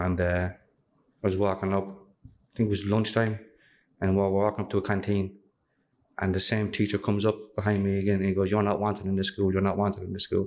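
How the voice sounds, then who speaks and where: A man talks at a very fast pace in a flat, monotone delivery. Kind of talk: interview answer, personal story. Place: meeting room. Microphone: studio mic.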